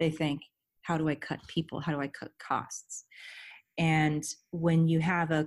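A woman speaks in an American accent. Her pitch is very deep and low. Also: very clean recording, silent background. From Southern California. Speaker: head of security. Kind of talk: interview.

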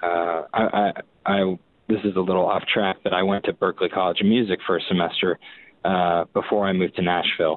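This man's voice is very deep and low, with an American accent. He keeps a monotone, flat intonation throughout. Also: fairly quick pace. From Massachusetts South Shore (Boston area). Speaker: rock guitarist. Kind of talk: casual interview chat.

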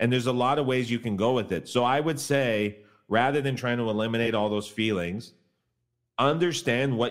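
Here a man with a Canadian accent has an unremarkable speaking voice at medium pitch. He talks at a fairly quick pace with ordinary pitch variation. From Canada. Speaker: professional sports bettor. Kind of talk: casual sports betting interview.

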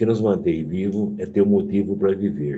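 At a moderate pace, a man speaks with a fairly low pitch, ordinary pitch variation and a dark, mellow tone. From Piracicaba, São Paulo state, Brazil. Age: 70s. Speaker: retired agronomy professor. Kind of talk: interview.

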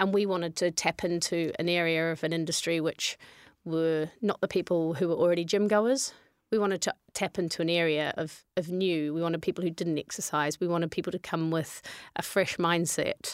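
On a very clean recording with a silent background and a dry, close sound with no echo, a woman with a New Zealand accent speaks at a fairly low pitch and fairly quick pace with fairly even intonation. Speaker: fitness business co-founder. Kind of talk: interview.

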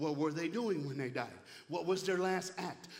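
Over noticeable background noise, a man with a fairly high pitch speaks in an animated tone. His pace is fairly quick, with ordinary pitch variation. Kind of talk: sermon. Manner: animated, call-and-response, fervent.

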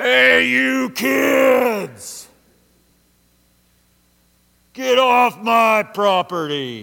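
A man puts on a character voice, pitched high for a man, with very wide pitch swings, a very slow pace and long, frequent pauses. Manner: angry, shouting.

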